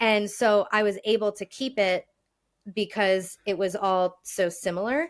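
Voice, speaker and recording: On a very clean recording with a silent background, a woman with an American accent speaks at medium pitch and a fairly slow pace, her intonation fairly even. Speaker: speech pathologist. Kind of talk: casual chat.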